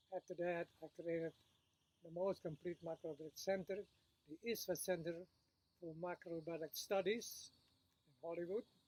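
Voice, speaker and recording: The speech moves at a moderate pace with long, frequent pauses and fairly even intonation, recorded dry and close with no echo. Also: man, high pitch for a man. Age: 90s. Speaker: macrobiotics teacher. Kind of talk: casual monologue to camera. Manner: halting, with fillers.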